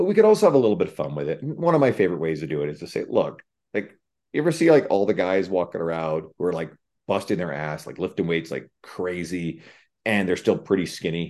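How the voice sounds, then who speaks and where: The man rushes along at a very fast pace against a quiet background. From Newfoundland, Canada. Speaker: personal trainer and fitness writer. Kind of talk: casual interview chat. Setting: video call.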